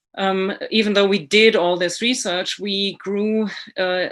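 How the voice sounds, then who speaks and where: A woman speaks with a German accent. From Germany. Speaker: author and illustrator. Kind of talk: prepared presentation.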